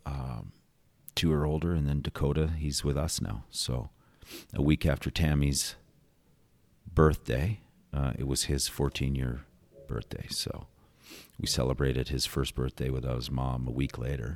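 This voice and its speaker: Speaking in a Western Canadian accent, a man with a very deep, low pitch keeps a moderate pace and fairly even intonation. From Calgary, Alberta, Canada. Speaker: executive director of an addiction recovery centre. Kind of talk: casual interview. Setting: studio.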